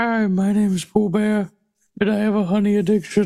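Someone speaks at a moderate pace in a put-on character voice, fairly high in pitch, with monotone, flat intonation. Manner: silly, earnest.

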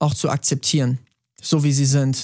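In a very clean, dry, close recording with a silent background and no echo, a man speaks slowly-ish at a fairly high pitch. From Bavaria, Germany. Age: 30s. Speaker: singer-songwriter. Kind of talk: podcast interview.

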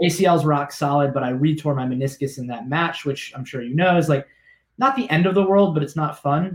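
A man's somewhat breathy voice, fairly high in pitch, with ordinary pitch variation at a fairly quick pace. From South Florida. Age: 30s. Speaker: business founder and CEO. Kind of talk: interview.

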